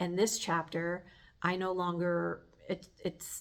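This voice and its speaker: A woman talks at a fairly slow pace. Her pitch sits fairly low. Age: 60s. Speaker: life coach. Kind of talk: casual monologue. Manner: hesitant, with filler words.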